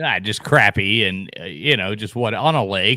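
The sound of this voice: A man's voice at a fairly low pitch, ordinary pitch variation and a moderate pace. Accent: Southern US.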